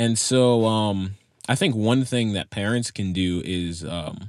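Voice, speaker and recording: With an ordinary speaking voice, a man talks at a fairly low pitch with ordinary pitch variation, recorded with a dry, close sound and no echo. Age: 18. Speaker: podcast producer, high school graduate. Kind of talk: casual interview chat.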